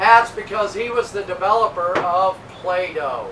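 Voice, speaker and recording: A man with a high pitch uses a raised, projected voice. There is audible room echo and noticeable background noise. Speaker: boat tour guide. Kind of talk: live tour narration. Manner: loud.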